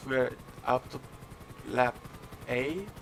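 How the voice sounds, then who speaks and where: Speaking at a fairly slow pace with a non-native accent, a man uses a medium pitch against noticeable background noise. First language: not English. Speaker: esports race commentator. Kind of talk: live commentary.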